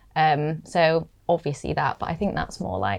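A woman with a very deep, low pitch and vocal fry speaks at a fairly slow pace. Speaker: voiceover agent. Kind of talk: casual interview chat.

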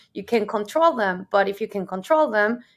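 A woman speaks at a moderate pace in a Spanish accent, her pitch fairly high. The recording is very clean, with a silent background. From Mexico. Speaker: solutions architect, engineer. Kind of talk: interview.

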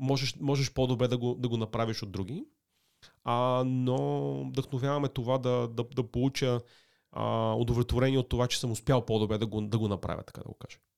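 A man at medium pitch, a plain, everyday voice, fairly even intonation, moderate pace, very clean recording with a silent background. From Sofia, Bulgaria. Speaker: digital media executive. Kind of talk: interview.

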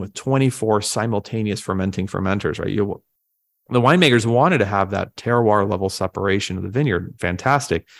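A man with a medium-pitched voice speaks fairly quickly with ordinary pitch variation in a very clean recording with a silent background. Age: 30s. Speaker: winery executive. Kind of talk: interview. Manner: halting, many repeated words and fillers.

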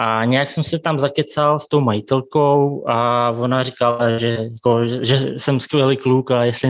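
A man with a Russian accent, medium pitch, and flat, monotone delivery, on a very clean recording with a silent background. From Kazakhstan and Siberia, Russia. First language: Russian (speaking Czech). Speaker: café and bakery owner. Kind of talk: interview.

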